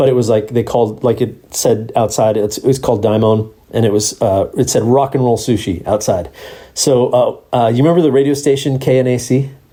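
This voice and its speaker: Somewhat breathy and dark, mellow in tone, a man with an American accent speaks at a fairly quick pace in a medium pitch. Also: ordinary pitch variation, very even loudness. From Southern California, Huntington Beach area. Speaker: podcast host, bartender. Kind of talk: casual chat. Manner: animated.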